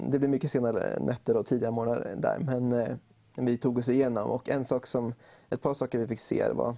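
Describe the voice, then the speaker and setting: Over a quiet background, a man speaks at a moderate pace in a medium-pitched, dark, mellow voice with vocal fry, fairly even intonation and very even loudness. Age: 20s. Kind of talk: interview chat.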